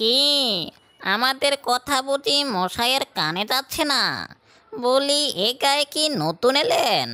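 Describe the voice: A cartoonish, female-sounding character voice speaks very slowly. It is high-pitched, shrill and nasal.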